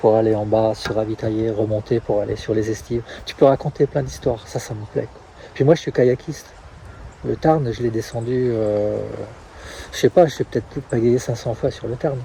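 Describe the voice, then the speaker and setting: Speaking at a moderate pace with long, frequent pauses, a man uses a medium pitch and fairly even intonation. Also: big swings in loudness. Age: 60s. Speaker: trail race organizer. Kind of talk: interview. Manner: halting.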